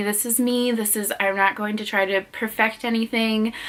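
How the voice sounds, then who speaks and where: Through noticeable background noise, a woman speaks at a fairly high pitch with fairly even intonation. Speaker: beauty and lifestyle vlogger. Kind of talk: casual vlog talk to camera. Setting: bedroom at parents' house. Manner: halting, many fillers and self-corrections.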